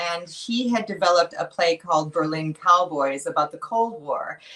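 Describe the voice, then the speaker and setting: With lively intonation and a moderate pace, a woman speaks over noticeable background noise. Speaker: actress and voice over artist. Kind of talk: interview answer.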